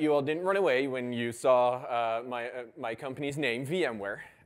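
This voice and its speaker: A man is speaking. The room echo is audible. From Netherlands. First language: Dutch. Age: 30s. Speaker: conference speaker. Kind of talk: conference talk.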